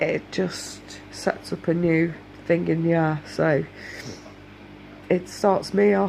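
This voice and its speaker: The speaker talks at a very slow pace with a British accent, leaving long, frequent pauses. The intonation is lively. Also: woman, fairly low pitch for a woman. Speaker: domestic abuse survivor vlogger. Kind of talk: casual talk to camera.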